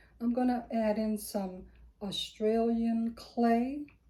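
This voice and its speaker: At a very slow pace, a woman with a fairly high pitch speaks in a monotone, her tone dark and mellow and somewhat breathy. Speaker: soap-making lifestyle vlogger. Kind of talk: tutorial. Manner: casual.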